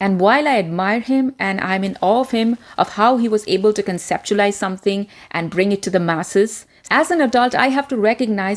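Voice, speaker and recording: At a fairly quick pace, a woman talks at medium pitch with ordinary pitch variation. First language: Indian regional language. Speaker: communication coach, former media presenter. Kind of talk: self-help video talk.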